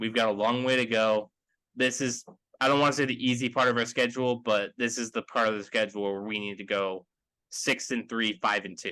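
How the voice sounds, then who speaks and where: At a fairly quick pace, a man with a medium pitch and a bright, sharp tone keeps his intonation fairly even. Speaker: sports podcast host. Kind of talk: casual sports podcast discussion. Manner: monotone.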